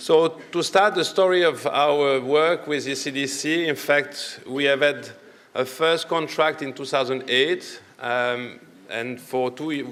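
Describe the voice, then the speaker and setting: A man with a French accent, fairly high-pitched for a man, at a very slow pace with fairly even intonation. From Italian-speaking Switzerland. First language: not English (French/Italian). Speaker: medical doctor, public health researcher. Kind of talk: conference presentation. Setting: conference session. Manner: hesitant, with many fillers.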